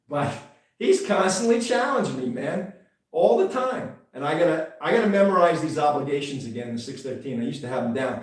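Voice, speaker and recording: A man talks at a moderate pace with lively intonation. There is audible room echo. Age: 60s. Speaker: rabbi and online show host. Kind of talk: religious teaching livestream. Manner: casual, halting with fillers.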